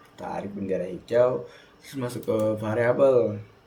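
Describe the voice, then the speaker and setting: Audible room echo surrounds a man speaking at medium pitch. His intonation is fairly even and his pace fairly slow. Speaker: student. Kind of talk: tutorial. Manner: soft-spoken.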